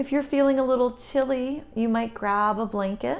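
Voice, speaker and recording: This woman speaks with ordinary pitch variation while music plays in the background. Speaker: yoga instructor. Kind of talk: guided yoga instruction. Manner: slow; soft-spoken.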